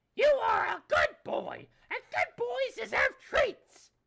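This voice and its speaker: A put-on character voice at an extremely high pitch and a very slow pace. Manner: sweet, doting.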